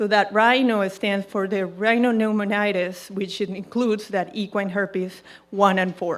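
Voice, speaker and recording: A woman's monotone, flat delivery with a Colombian accent, at a moderate pace with hardly any pauses. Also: medium pitch for a woman. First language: Spanish. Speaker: equine veterinarian. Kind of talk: presentation to audience. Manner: hesitant, with fillers.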